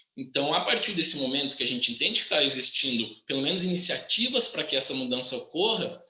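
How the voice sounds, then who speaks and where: With lively intonation and a fairly high pitch, a man talks amid audible room echo. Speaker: engineering professor. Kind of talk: live webinar talk. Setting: live stream. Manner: animated.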